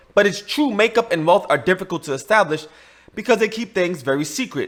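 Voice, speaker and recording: A man's high voice at a fairly quick pace, with lively intonation. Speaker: YouTube host, money laundering attorney. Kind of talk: scripted explainer video. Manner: fast.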